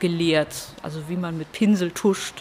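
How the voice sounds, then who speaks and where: A woman speaks with fairly low pitch and fairly even intonation over noticeable background noise. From Hamburg, northern Germany. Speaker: comic artist. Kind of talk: casual interview.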